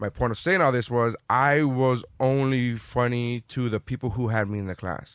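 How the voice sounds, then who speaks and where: An unremarkable speaking voice from a man, medium in pitch, at a moderate pace with hardly any pauses, ordinary pitch variation, and a dry, close sound with no echo. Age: 30s. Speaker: comedian. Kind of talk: casual chat.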